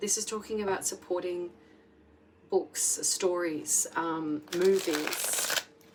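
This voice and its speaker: A woman's medium-pitched voice with noticeable background noise. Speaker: tarot reader. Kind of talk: tarot reading monologue. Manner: casual, filler-heavy.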